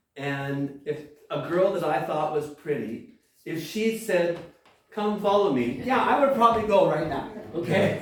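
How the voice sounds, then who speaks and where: A man's high-pitched voice with lively intonation at a fairly slow pace, in audible room echo. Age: 60s. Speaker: pastor. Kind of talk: sermon. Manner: halting.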